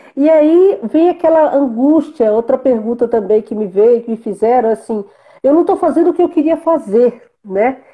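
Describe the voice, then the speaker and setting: A woman talks at a high pitch with lively intonation. Her pace is moderate. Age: 60s. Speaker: interviewer. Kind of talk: casual interview in a live video chat.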